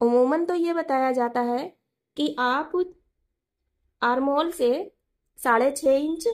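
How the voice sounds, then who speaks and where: Speaking at a fairly slow pace, a woman with a high voice keeps her intonation fairly even. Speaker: sewing teacher. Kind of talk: tutorial.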